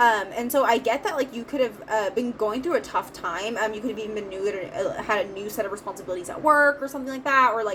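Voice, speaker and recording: A fairly high-pitched woman at a very fast pace with hardly any pauses, ordinary pitch variation, and noticeable background noise. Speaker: tarot reader. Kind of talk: tarot reading monologue. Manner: many filler words.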